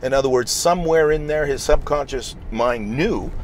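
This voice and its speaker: The speaker is a man with a moderately paced delivery. Noticeable noise sits in the background. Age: 60s. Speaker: real estate investor. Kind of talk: interview.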